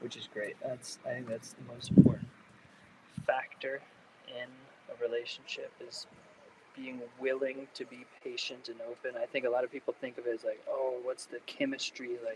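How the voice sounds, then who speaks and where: A man's voice at a moderate pace, with long, frequent pauses, big swings in loudness and noticeable background noise. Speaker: homesteader and butcher vlogger. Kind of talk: casual live-stream chat while working. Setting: live stream at home butchery space.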